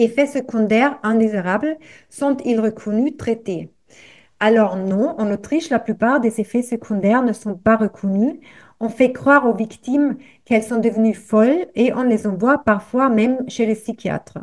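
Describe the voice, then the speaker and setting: Against a quiet background, a woman with a German accent speaks at fairly high pitch and a fairly slow pace, with ordinary pitch variation and big swings in loudness. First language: German (speaking French). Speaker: activist, association representative. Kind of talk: reading aloud. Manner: halting.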